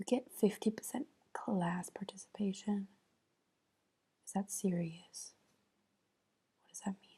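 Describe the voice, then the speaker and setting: Soft-spoken and somewhat breathy, a woman mumbles in a dark, mellow tone at a fairly slow pace, with long, frequent pauses and big swings in loudness. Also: ordinary pitch variation. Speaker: ASMR creator. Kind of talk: soft-spoken ASMR. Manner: soft-spoken, mumbling to herself. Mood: thoughtful, mildly amused. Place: home room. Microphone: earbuds.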